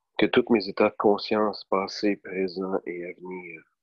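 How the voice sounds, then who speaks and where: A man with a Quebec accent speaks at a fairly slow pace in a very deep, low pitch, with monotone, flat intonation. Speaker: meditation guide. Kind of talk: guided meditation.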